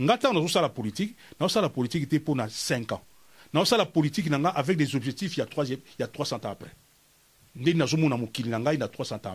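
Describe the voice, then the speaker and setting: Lively in intonation, a man talks at a fairly quick pace with long, frequent pauses. His voice is somewhat breathy and fairly high. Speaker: cultural theorist. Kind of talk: interview.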